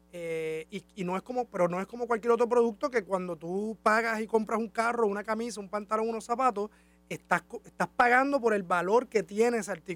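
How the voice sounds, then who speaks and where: The sound is dry and close, with no echo. A man talks at a high pitch and a fairly quick pace, with ordinary pitch variation. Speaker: university department director and interviewer. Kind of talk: interview. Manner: hesitant, many fillers.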